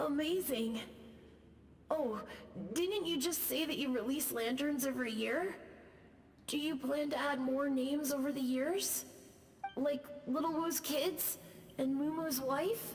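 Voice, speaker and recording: A put-on character voice with a high pitch and warm tone goes at a fairly slow pace with long, frequent pauses. There is clear echo and clear background noise. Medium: video game. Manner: warm, wistful.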